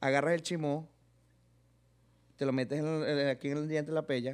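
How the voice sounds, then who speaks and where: Speaking at a moderate pace, a man leaves long, frequent pauses. His pitch is fairly high and his intonation fairly even. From Venezuela, Barinas (llanos); Venezuela. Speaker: comedian and YouTuber; comedian, YouTuber. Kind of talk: casual comedic interview. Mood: relaxed, joking storytelling. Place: studio. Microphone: studio mic.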